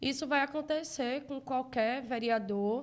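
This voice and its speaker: A woman speaks with a northeastern Brazilian accent and ordinary pitch variation. The recording is very clean, with a silent background. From Brazil, Northeast (Recife, Pernambuco). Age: 30s. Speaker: city councillor, politician. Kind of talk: interview.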